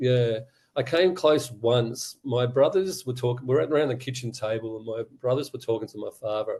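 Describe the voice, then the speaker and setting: A man with an Australian accent, medium-pitched, somewhat breathy and dark, mellow in tone, at a moderate pace with ordinary pitch variation and big swings in loudness. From Australia, Sydney. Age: 60s. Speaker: abuse survivor and advocate. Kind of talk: testimony.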